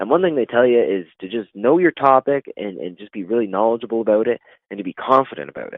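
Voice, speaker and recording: Very fast speech comes from a man with a Canadian accent. His volume swings widely. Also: medium pitch for a man, lively intonation. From Canada, Ontario. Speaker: professional wrestler. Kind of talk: interview. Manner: halting, stutters in conversation.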